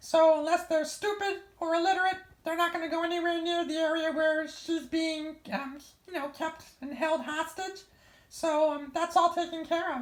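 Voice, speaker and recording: In a put-on character voice, a woman squeaks at an extremely high pitch and a moderate pace. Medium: audio drama. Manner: casual, rambling, full of fillers.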